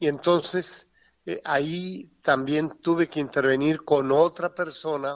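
A man with a normal speaking voice, talking at a fairly slow pace with fairly even intonation, in a dry, close sound with no echo. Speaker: retired bishop. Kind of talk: phone interview. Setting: phone call.

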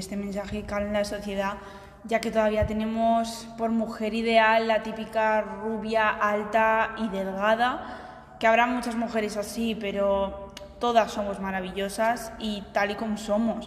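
Speaking at a fairly slow pace with flat, monotone intonation, a woman with a fairly high pitch is heard against audible room echo. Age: 20s. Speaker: marketing student, podcast co-host. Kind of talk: casual chat.

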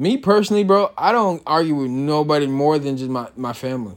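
A man's fairly high pitch with lively intonation at a moderate pace, in a normal speaking voice. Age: young. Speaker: podcast host. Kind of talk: casual solo talk.

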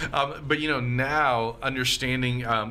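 Through noticeable background noise, a man speaks at a medium pitch and a moderate pace. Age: 30s. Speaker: pastor. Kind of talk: casual chat.

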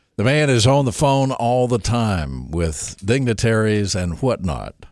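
Speaking at a fairly slow pace, a man with a Southern US accent uses lively intonation at a medium pitch. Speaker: radio host. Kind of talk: radio call-in show. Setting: studio. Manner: joking.

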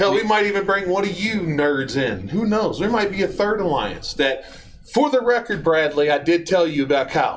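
A man talks at a high pitch with lively intonation and very even loudness. There is noticeable background noise. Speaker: guest helper and ad voice. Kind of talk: car dealer commercial, hard-sell radio spot parody. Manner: loud, fast-talking, over-the-top pitchman; rhyming, jokey.

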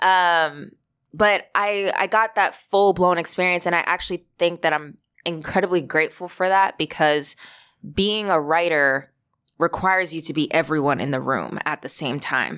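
A woman's fairly low-pitched, normal speaking voice with an American accent, ordinary pitch variation and a moderate pace. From Long Island, New York. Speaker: playwright. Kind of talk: interview.

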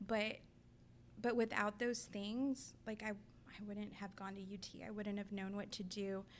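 The intonation stays monotone and flat. The pace is fairly slow. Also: woman, medium pitch for a woman. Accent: South Texas. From US South, Rio Grande Valley, Texas. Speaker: therapist. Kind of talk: interview conversation.

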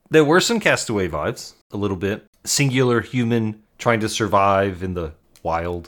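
An unremarkable speaking voice from a man, fairly low in pitch, at a moderate pace with hardly any pauses and ordinary pitch variation. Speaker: podcast co-host. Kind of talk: casual chat.

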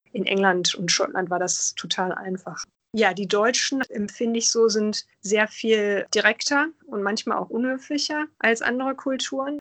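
Dry and close with no echo, a woman speaks in a normal speaking voice at a moderate pace and fairly high pitch. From Germany. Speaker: interviewee, lawyer. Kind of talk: interview.

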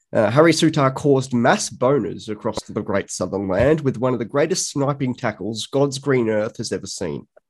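A man with an Australian accent, at a moderate pace, with medium pitch and ordinary pitch variation. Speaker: football writer. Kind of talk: casual chat.

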